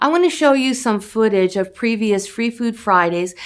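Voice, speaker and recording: This woman has an unremarkable speaking voice with an American accent. She talks at a moderate pace with ordinary pitch variation. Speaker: charity outreach representative. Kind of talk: appeal speech to camera.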